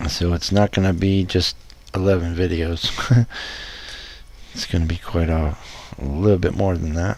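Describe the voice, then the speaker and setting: This man's voice is very deep and low, with fairly even intonation. He talks at a moderate pace, leaving long, frequent pauses. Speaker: hobbyist video maker. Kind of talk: casual build tutorial. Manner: whispering. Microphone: no echo this time, sounding decent.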